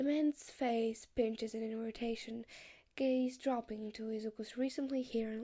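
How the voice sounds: The delivery is a natural reading voice. Its intonation stays fairly even.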